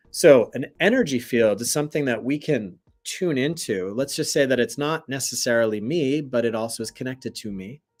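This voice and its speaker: A man talks at a fairly quick pace with hardly any pauses, his pitch medium and ordinarily varied. Music plays in the background. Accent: American. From US South. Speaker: meditation teacher. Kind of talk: spiritual teaching livestream. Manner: casual, conversational.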